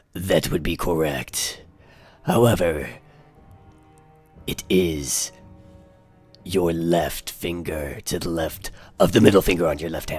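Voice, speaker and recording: A man's put-on character voice, very deep, low and raspy, at a fairly slow pace with long, frequent pauses over faint background music. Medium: actual play. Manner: formal, pompous, slightly foreign phrasing.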